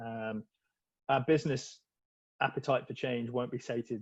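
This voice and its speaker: Using monotone, flat intonation, a man speaks at a fairly quick pace. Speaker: enterprise architect, panelist. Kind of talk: panel discussion. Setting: video call. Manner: loud.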